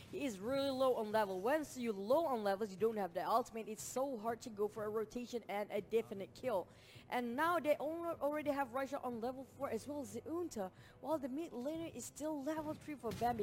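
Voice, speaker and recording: A woman speaks at a fairly quick pace in a fairly high pitch, her tone animated and her intonation lively. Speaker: esports caster. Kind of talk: live commentary.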